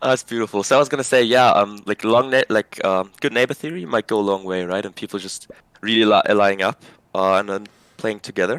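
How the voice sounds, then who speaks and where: In a very clean recording with a silent background and a dry, close sound with no echo, a man speaks at a fairly quick pace in a fairly low pitch with ordinary pitch variation. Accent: German. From Germany, Berlin. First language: German. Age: 20s. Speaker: video game player. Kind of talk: casual chat. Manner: halting.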